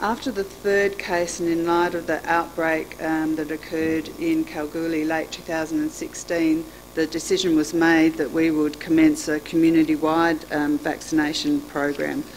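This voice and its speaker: A woman's fairly low-pitched voice, flat and monotone, at a fairly slow pace over light background noise. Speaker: registered nurse; presenter. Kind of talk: conference talk. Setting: stage with audience. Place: hall. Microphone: podium.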